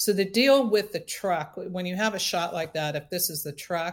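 A woman with an American accent and an ordinary speaking voice talks at a moderate pace and a fairly low pitch with ordinary pitch variation, on a very clean recording with a silent background. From coastal Central California. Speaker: film production designer. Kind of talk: interview.

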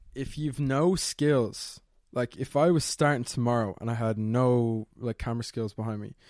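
A man with a Dublin accent speaks at a moderate pace and medium pitch, with ordinary pitch variation, on a very clean recording with a silent background. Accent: Dublin Irish, fairly posh. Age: 20s. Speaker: YouTuber and student. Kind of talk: casual interview.

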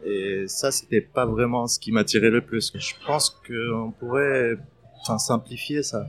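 A man at medium pitch, fairly slow pace and ordinary pitch variation. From Palestine, Middle East. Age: 30s. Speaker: restaurant entrepreneur. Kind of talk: interview testimony. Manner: hesitant, many fillers.

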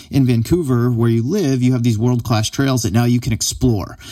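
A man's dark, mellow tone at a fairly quick pace, on a very clean recording with a silent background. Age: 30s. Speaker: podcast host. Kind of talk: casual interview chat.

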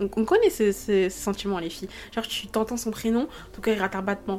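Against music in the background, a woman with a medium pitch talks at a fairly quick pace and fairly even intonation. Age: 20s. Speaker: podcast host. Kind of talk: casual monologue. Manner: hesitant.

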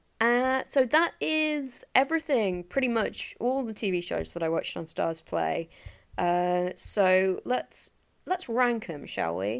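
A woman with an English accent, fairly high in pitch, with very wide pitch swings at a very slow pace, on a very clean recording with a silent background. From England. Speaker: podcast host, film and TV reviewer. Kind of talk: solo monologue review. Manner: casual with many filler words.

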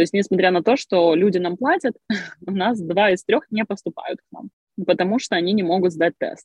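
At a fairly quick pace, a woman with a medium-pitched voice speaks with lively intonation. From Crimea, Ukraine. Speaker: online school co-founder. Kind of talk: interview. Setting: video call from a car.

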